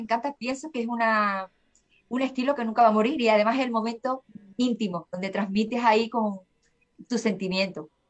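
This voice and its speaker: With an unremarkable speaking voice, a woman talks at a fairly quick pace with a fairly high pitch and ordinary pitch variation. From Seville, Andalusia, Spain. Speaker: singer-songwriter. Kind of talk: interview conversation. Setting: remote call from Spain.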